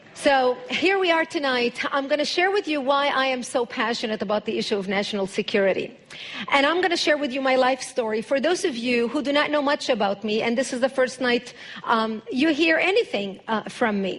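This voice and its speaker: Speaking with an Arabic accent, a woman uses a high pitch and lively intonation. Her pace is fairly quick over noticeable background noise. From Lebanon. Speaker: public speaker on national security. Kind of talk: speech to an audience. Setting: church with live audience.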